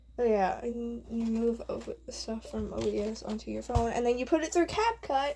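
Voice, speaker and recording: Speaking quietly, a woman keeps to a moderate pace. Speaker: gaming youtuber. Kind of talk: casual vlog rambling. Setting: home bedroom recording. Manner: rambling, halting.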